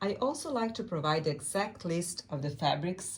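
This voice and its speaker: The speaker has a Serbian accent and lively intonation, talking at a moderate pace. Noticeable background noise is present. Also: woman. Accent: Serbian accent, non-native English. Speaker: quilt and fabric designer. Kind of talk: tutorial.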